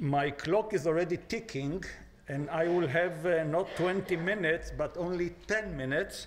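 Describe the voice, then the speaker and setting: The room echo is audible. A man speaks with ordinary pitch variation. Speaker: former diplomat. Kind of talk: lecture. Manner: halting, many filler sounds.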